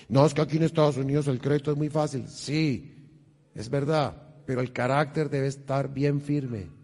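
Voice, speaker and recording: A man with a fairly high, somewhat breathy voice of dark, mellow tone speaks at a moderate pace with fairly even intonation against a quiet background. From Colombia, Bogotá. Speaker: financial stewardship speaker. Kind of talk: church seminar talk. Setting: church with audience.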